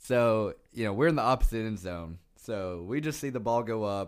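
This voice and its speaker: At a moderate pace and medium pitch, a man talks in an unremarkable speaking voice on a very clean recording with a silent background. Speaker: co-host, Tennessee fan. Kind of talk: casual sports banter.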